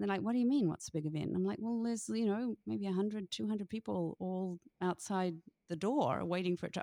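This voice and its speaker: A dark, mellow tone carries lively intonation. The recording is very clean with a silent background and a dry, close sound with no echo. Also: woman. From New Zealand. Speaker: author and former teacher. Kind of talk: casual interview.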